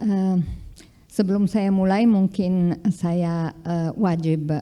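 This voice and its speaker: With an Italian accent, a woman speaks very slowly in a dark, mellow tone. Her intonation is fairly even. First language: Italian (speaking Indonesian). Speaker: linguistics professor, keynote speaker. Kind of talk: keynote lecture. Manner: hesitant, many fillers.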